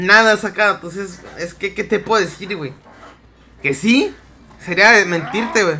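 Projecting his voice loudly, a man with a Mexican accent speaks in a high pitch with a bright, sharp, animated tone. His pace is fairly slow, broken by long, frequent pauses. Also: ordinary pitch variation. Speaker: gaming streamer. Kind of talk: live gameplay commentary.

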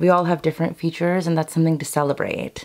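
In a quiet background, a woman speaks at a very deep, low pitch with monotone, flat intonation. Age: 30s. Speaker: beauty and lifestyle youtuber. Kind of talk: casual chat to camera. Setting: filmed at home vanity. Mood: warm, encouraging. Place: home room.

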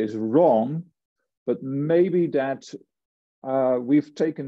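With a quiet background, a man's pitch varies in an ordinary way as he talks at a very slow pace. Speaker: lecturer. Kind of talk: lecture. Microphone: webcam.

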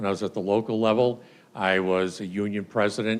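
This man has a fairly low pitch and talks at a moderate pace with monotone, flat intonation. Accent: Boston. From US Northeast, Boston area, Massachusetts. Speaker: political candidate, retired police officer. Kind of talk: campaign speech at candidate forum. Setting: stage with audience, auditorium.

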